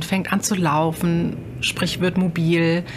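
The speaker is a woman whose voice is fairly low in pitch. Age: 30s. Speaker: mother and retail manager. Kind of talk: interview. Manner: hesitant, frequent filler sounds.

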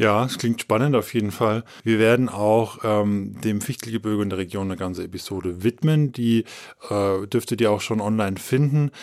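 A man with an unremarkable speaking voice talks at a moderate pace in a fairly low pitch with ordinary pitch variation, on a very clean recording with a silent background. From Upper Franconia, Coburg. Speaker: podcast host, editor. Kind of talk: casual chat. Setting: studio in Bamberg.

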